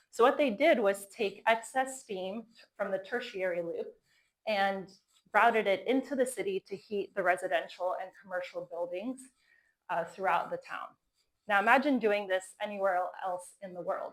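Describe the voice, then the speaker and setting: A plain, everyday voice from a woman, medium in pitch with ordinary variation, in an American accent at a moderate pace, with big swings in loudness. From Florida, US. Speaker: company co-founder giving a talk. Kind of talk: conference talk.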